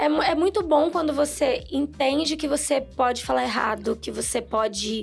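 A woman in a Rio de Janeiro accent speaks at a moderate pace with hardly any pauses as faint music plays in the background. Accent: Carioca Brazilian Portuguese. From Brazil, Rio de Janeiro. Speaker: podcast guest. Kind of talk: casual chat. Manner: loud. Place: studio. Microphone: studio mic.

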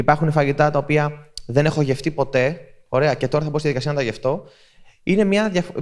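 A man speaks at a fairly high pitch with ordinary pitch variation. His pace is fairly quick against a quiet background. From Greece. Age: 30s. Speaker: content creator giving a talk. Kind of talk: public talk at a festival. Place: hall. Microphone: handheld.

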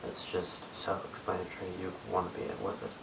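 A man mumbles at a moderate pace with a New Zealand accent. There is audible room echo and light background noise. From New Zealand, Christchurch. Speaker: cube youtuber; vlogger. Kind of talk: casual vlog; reading word list aloud. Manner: mumbling; hesitant, many ums. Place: home room. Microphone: webcam.

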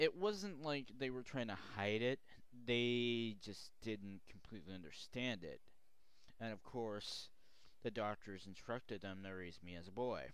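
A man talks at a fairly slow pace, and the sound is dry with no echo. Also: ordinary pitch variation. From Oregon, US Pacific Northwest. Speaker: video blogger; vlogger telling own life story. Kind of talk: personal testimony vlog. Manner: halting, many fillers. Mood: calm, reflective, personal. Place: home room. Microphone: headset.

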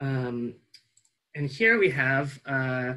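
In a quiet setting, a man with an American accent speaks in a bright, sharp tone. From US West (California). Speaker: nonprofit program assistant and event host; event host. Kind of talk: webinar hosting. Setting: video call. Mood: upbeat, friendly. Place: home room. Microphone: earbuds.

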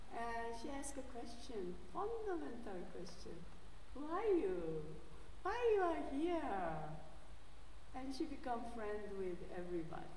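A woman's high voice with very wide pitch swings and long, frequent pauses, in audible room echo over light background noise. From South Korea. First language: Korean. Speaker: theology professor and guest preacher. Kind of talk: sermon. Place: church.

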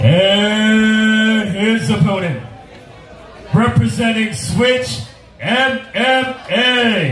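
A man with a high pitch and ordinary pitch variation at a very slow pace, with light background noise and audible room echo. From Philippines. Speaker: ring announcer. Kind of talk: ring announcing. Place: stadium.

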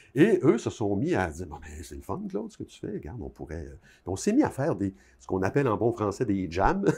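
A man with a Quebec accent speaks at a fairly quick pace in a fairly low, dark, mellow voice that is somewhat breathy, with very wide pitch swings and big swings in loudness. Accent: Québécois French. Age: 60s. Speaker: author; interviewee. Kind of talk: interview. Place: home room. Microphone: lapel.

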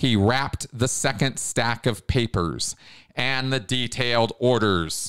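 An unforced reading voice, the pitch shifting in an ordinary way

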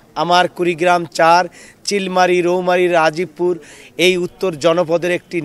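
Here a man speaks at a high pitch. The sound is dry, with no echo. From Bangladesh. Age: 40s. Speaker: politician and lawyer; election candidate. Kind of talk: press statement to reporters. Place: street.

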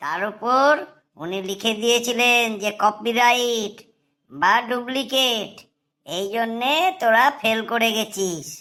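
A woman puts on a cartoonish character voice with a fairly high pitch and lively intonation. She speaks at a very slow pace. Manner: teasing, know-it-all.

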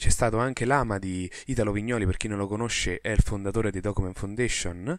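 With big swings in loudness and hardly any pauses, a man with fairly low pitch talks at a fairly quick pace on a very clean recording with a silent background. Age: 20s. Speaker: podcast host, open source programmer. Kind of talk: solo podcast monologue. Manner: casual, improvised.

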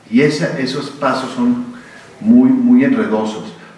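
Light background noise and audible room reverberation around a man's voice, its pitch swinging very widely. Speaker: poet and panelist. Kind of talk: public conversation. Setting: stage with audience. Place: hall. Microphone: podium.

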